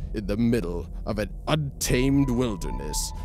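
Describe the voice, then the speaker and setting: This man talks at a very slow pace. Music plays in the background. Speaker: voice actor. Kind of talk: movie trailer.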